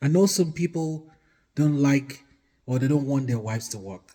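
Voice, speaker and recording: A man's somewhat breathy, fairly high voice with a Nigerian accent, a dark, mellow tone, ordinary pitch variation and a moderate pace. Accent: Nigerian (Yoruba) English. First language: Yoruba. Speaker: marriage advice vlogger. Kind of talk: casual talk to camera. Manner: hesitant, with fillers.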